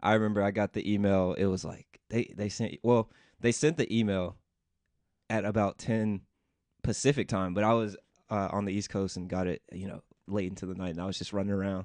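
A man with an American accent and a normal speaking voice talks at a fairly quick pace in a fairly low pitch, his intonation fairly even, recorded dry and close with no echo against a quiet background. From US South, Memphis, Tennessee. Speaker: tech startup founder. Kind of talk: interview. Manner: casual, many fillers.

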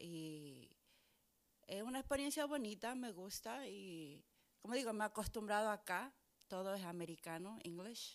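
Using an unremarkable speaking voice, a woman at medium pitch speaks at a fairly slow pace with lively intonation. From Chile, then New York from age 12. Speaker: pastor. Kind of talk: casual chat.

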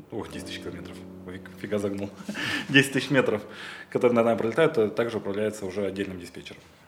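Over music in the background, a man talks at a very fast pace but with long, frequent pauses, using a fairly low pitch, ordinary pitch variation and big swings in loudness. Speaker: air traffic controller. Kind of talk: casual chat.

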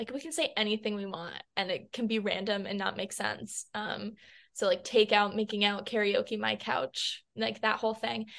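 A woman with an American accent speaks at medium pitch and a moderate pace. Her voice has vocal fry and ordinary pitch variation. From US West Coast, Los Angeles. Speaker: singer-songwriter. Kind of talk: casual interview. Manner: animated.

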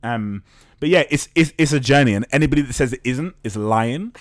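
A man speaks with lively intonation and an animated tone. The recording is very clean, with a silent background. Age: 30s. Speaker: start-up co-founder. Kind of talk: casual chat.

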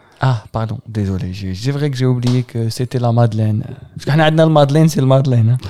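A man uses a normal speaking voice, talking fairly quickly at a medium pitch with ordinary pitch variation. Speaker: podcast host. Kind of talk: casual chat.

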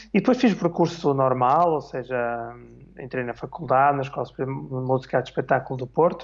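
An unremarkable speaking voice comes from a man at a medium pitch. He keeps a moderate pace with ordinary pitch variation. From northern Portugal, Minho. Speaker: orchestra conductor and clarinetist. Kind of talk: casual interview on livestream. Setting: online live stream.

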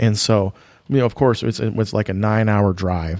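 On a very clean recording with a silent background and a dry, close sound with no echo, a man has an ordinary speaking voice. His pitch is fairly low with ordinary variation, and his pace is fairly quick. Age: 40s. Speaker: race car wrap business owner and racer. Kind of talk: casual chat.

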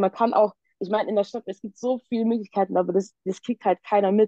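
A woman speaks at a fairly quick pace in a dark, mellow tone with fairly even intonation. The sound is dry and close, with no echo. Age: 20s. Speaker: youth council member. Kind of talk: casual chat.

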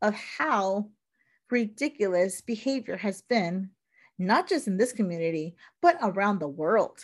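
Loud and animated, a woman talks at a moderate pace with a passionate tone and very wide swings in pitch. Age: 40s. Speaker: self care coach and podcast host. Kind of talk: solo monologue, personal reflection. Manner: passionate, animated.

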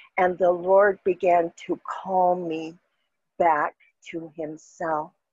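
A woman talks at a very slow pace. The sound is dry and close with no echo. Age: 60s. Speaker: guest sharing testimony. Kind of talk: testimony. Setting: video call.

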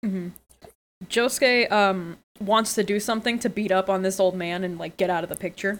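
In a normal speaking voice, a woman talks at a fairly quick pace and a medium pitch. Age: 20s. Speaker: podcast host. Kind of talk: casual chat.

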